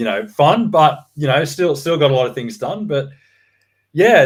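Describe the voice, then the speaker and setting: A man with an Australian accent, lively intonation and a moderate pace, on a very clean recording with a silent background. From Australia, Sydney suburbs. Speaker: real estate researcher. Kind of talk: interview. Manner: hesitant, many fillers.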